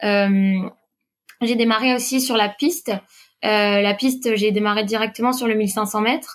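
A woman's fairly high voice, fairly slow, with fairly even intonation, very even loudness, and long, frequent pauses. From Brittany, France (Quimper, south Finistère). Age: 30s. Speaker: PE teacher and amateur runner. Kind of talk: interview.

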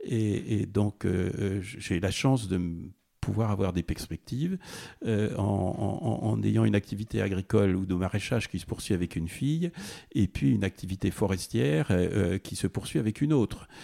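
With vocal fry and a dark, mellow tone, a man of fairly low pitch talks at a moderate pace with lively intonation, the sound dry and close with no echo on a very clean recording with a silent background. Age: 60s. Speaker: farmer. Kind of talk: interview. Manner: halting.

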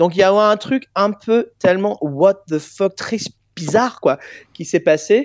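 A man with an English accent speaks at a very slow pace in a high pitch, the sound dry and close with no echo. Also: ordinary pitch variation. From England. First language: English (speaking French). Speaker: singer. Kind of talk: interview.

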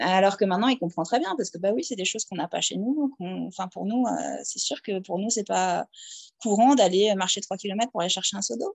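At a fairly quick pace, a woman with a medium pitch and vocal fry speaks with ordinary pitch variation. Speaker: teacher living abroad. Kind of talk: interview. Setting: at home. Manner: hesitant, many fillers.

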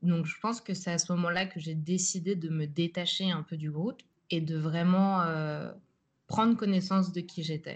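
A woman speaks at a moderate pace over a quiet background, her pitch fairly low for a woman. Her voice is somewhat breathy, with fairly even intonation. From France, Paris suburbs. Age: 20s. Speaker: art student and artist. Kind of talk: interview. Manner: halting, many hesitations.

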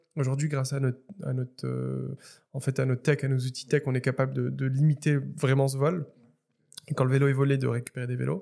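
Very fast male speech with a dark, mellow tone at a medium pitch. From Morocco, Casablanca. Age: 30s. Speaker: startup founder. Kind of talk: interview. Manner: halting, many repetitions and fillers.

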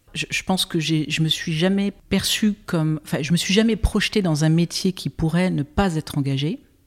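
In an unremarkable speaking voice, a woman talks at a moderate pace in a fairly low pitch, with ordinary pitch variation and hardly any pauses, the sound dry and close with no echo. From Brittany, France. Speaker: impact investor. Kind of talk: interview conversation.

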